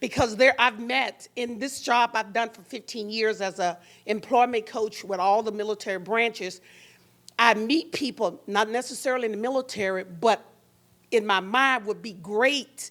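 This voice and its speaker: Speaking in an unremarkable speaking voice, a woman holds a fairly high pitch and moderate pace with fairly even intonation, her loudness swinging widely in a very clean recording with a silent background. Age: 60s. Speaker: employment coach, audience member. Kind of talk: audience question at panel forum.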